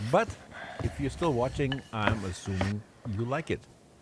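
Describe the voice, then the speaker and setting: Noticeable background noise runs under this recording. A man talks with lively intonation. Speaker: cooking channel host. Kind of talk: scripted narration.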